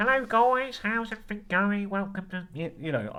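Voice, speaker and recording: A put-on character voice, fairly high and nasal. It moves at a moderate pace. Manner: greeting viewers, streamer-like.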